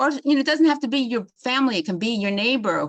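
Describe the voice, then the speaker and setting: With a New York accent, a woman speaks with ordinary pitch variation. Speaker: psychologist giving a webinar. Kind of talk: webinar lecture. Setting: online webinar.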